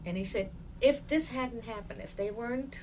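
Noticeable background noise behind a woman's voice. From East Africa. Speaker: civilian interviewee recounting family history. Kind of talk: oral history interview.

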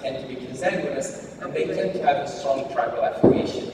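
A man's voice comes with strong room echo. Noticeable background noise is present too. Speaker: invited lecturer, genetics professor. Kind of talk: lecture. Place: hall.

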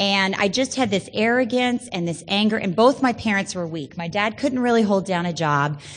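A woman at a medium pitch with an American accent, lively intonation, a moderate pace and hardly any pauses. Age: 30s. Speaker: Al-Anon speaker. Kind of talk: recovery testimony. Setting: stage with audience.

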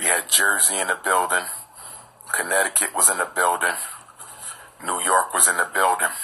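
This man speaks at a moderate pace in a very deep, low pitch with monotone, flat intonation. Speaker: educator addressing supporters. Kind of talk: casual vlog chat with announcements. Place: home room. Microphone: phone near.

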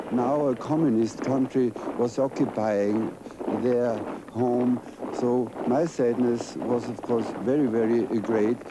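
Over noticeable background noise, a man speaks at a fairly slow pace with ordinary pitch variation, the sound dry with no echo. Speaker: witness. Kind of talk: interview answer. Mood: wistful, sad remembrance. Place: open country.

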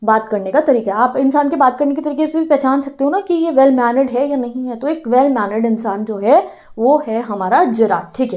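A woman's high voice at a fairly quick pace, ordinary pitch variation, hardly any pauses, and a quiet background. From India. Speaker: teacher. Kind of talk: lecture. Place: classroom. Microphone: lapel.

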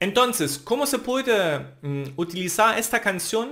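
A man with a German accent at a fairly slow pace, very wide pitch swings, and a quiet background. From Germany, Thuringia. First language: German (speaking Spanish). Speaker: language teacher. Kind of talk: tutorial. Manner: halting.

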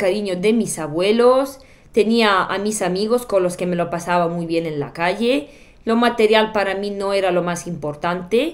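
A woman with a Bulgarian accent speaks at a fairly slow pace and a medium pitch. Her pitch varies in an ordinary way. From Bulgaria, Sofia. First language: Bulgarian (speaking Spanish). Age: 30s. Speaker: YouTuber. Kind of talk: personal storytelling vlog. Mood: reflective, personal storytelling. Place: home room.

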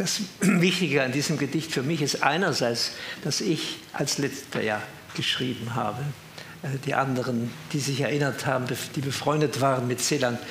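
The recording has audible room echo and light background noise. A man talks at a moderate pace with a medium pitch and ordinary pitch variation. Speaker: retired professor and author; retired professor. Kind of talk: talk with reminiscences and commentary. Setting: evening event with audience. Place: hall.

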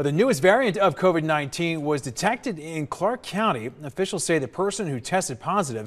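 With very wide pitch swings, a man talks at a moderate pace in a very clean recording with a silent background. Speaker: news anchor. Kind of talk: news reading. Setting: studio.

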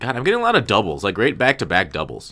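A man talks at a very fast pace with vocal fry and a bright, sharp tone. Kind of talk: casual chat. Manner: frequent fillers and hesitations.

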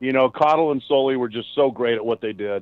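The speaker is a man with an unremarkable speaking voice. His medium pitch shows ordinary variation. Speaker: podcast co-host. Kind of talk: casual podcast chat.

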